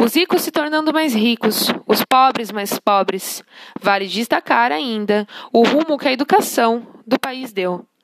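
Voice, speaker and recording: A woman speaks at a fairly slow pace in an unremarkable speaking voice, pitched fairly high. Her intonation is lively, and the sound is dry and close with no echo. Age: 20s. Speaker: social work student. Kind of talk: scripted narration. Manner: formal.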